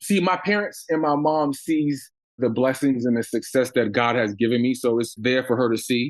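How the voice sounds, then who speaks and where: A normal speaking voice with an American accent comes at a moderate pace with ordinary pitch variation. The background is quiet. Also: man. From US Northeast, Long Island, New York. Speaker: business owner. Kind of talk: interview.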